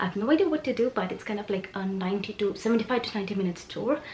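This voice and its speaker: Noticeable background noise sits under very fast speech with lively intonation. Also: woman. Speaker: lifestyle vlogger. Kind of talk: casual vlog.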